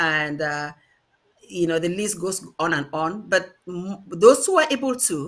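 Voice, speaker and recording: A Cameroonian accent at a fairly slow pace. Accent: Ambazonian Cameroonian accent, kept. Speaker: diaspora activist. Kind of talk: panel discussion.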